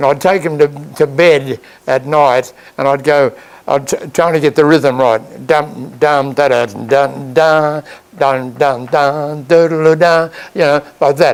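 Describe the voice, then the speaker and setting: With an Australian accent, a man speaks at a fairly slow pace, fairly high in pitch, with fairly even intonation. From Australia, Queensland Sunshine Coast. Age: 90s. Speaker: retired farmer and band conductor. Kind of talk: interview storytelling. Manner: halting, many repetitions and false starts.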